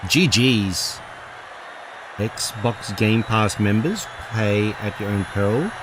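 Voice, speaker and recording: Here a man speaks with an Australian accent. Noticeable background noise runs underneath. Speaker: gaming streamer. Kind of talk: casual chat. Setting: live stream.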